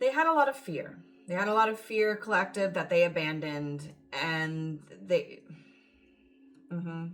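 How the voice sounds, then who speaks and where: The speech moves at a moderate pace with lively intonation and long, frequent pauses. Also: woman, fairly low pitch for a woman. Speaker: tarot reader. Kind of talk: tarot reading. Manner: animated.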